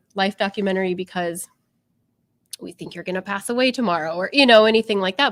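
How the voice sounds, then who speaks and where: Using fairly even intonation, a woman speaks at a medium pitch with an American accent. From US Midwest, Iowa. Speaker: photographer. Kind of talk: casual interview.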